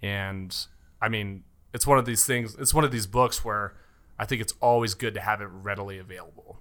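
With a General American accent, a man talks at a fairly quick pace in a fairly low pitch, his bright, sharp tone carrying fairly even intonation and big swings in loudness. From Colorado, Castle Rock. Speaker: mortgage loan officer. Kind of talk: casual interview chat.

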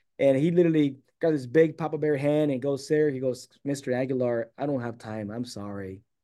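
Fairly quick and with hardly any pauses, a man with an American accent uses an ordinary speaking voice at fairly high pitch with ordinary pitch variation. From San Diego, California. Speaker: author and construction business founder. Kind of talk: casual interview, telling life story.

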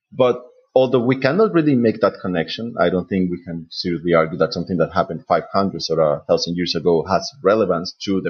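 A man's fairly low voice in a Spanish accent, fairly quick in pace, with lively intonation. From Colombia, Bogota. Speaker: PhD student in medieval studies. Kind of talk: panel discussion.

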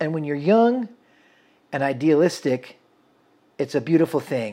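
A man with an American accent, a fairly high pitch, lively intonation and a dark, mellow tone, at a moderate pace on a very clean recording with a silent background. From central Washington State, US. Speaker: photographer, videographer and musician. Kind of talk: casual interview chat.

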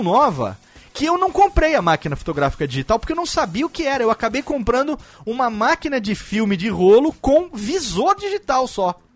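An animated man's voice at an extremely high pitch, swinging very widely in pitch at a moderate pace, dry and close with no echo, over noticeable background noise. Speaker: podcast host. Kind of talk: casual chat.

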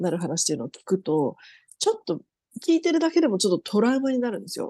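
The woman's dark, mellow voice swings very widely in pitch, with a dry, close sound with no echo and a quiet background. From Tokyo, Japan (Setagaya). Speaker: police officer. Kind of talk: interview.

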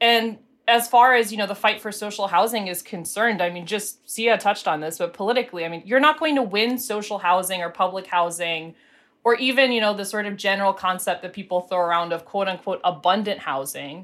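A woman with a normal speaking voice talks at a fairly quick pace, at a medium pitch with ordinary pitch variation. The recording is very clean, with a silent background. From Pittsburgh, Western Pennsylvania. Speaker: housing advocacy director. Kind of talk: panel discussion.

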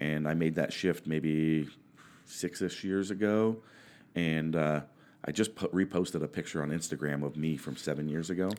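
A man with an American accent speaks at a very deep, low pitch and a moderate pace, with fairly even intonation. The recording is very clean, with a silent background. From Oregon, US. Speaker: powerlifter and coach. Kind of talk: casual chat. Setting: studio.

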